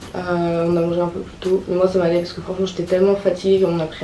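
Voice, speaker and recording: A very fast, fairly low-pitched woman's voice with monotone, flat intonation over noticeable background noise. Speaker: vlogger. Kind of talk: casual vlog talk.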